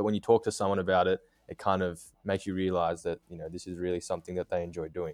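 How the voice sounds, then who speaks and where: In an Australian accent, a man with a very deep, low pitch talks very fast and monotone, the sound dry and close with no echo. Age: 20s. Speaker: graphic designer. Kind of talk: casual interview.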